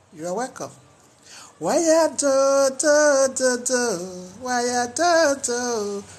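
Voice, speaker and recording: The speaker, with a Nigerian accent, talks at a very slow pace with long, frequent pauses. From Nigeria, Edo (Benin). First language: Edo. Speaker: health talk vlogger. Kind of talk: monologue talk.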